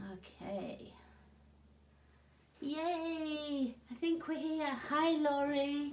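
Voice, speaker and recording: Audible room echo is present. There is also noticeable background noise. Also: woman. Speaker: card-making crafter. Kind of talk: live craft demo chat. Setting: livestream from home craft desk.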